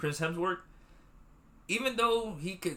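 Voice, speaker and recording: This is a man speaking. His tone is animated. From Nigerian background. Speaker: podcast host. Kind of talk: casual podcast monologue, movie review. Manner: fast.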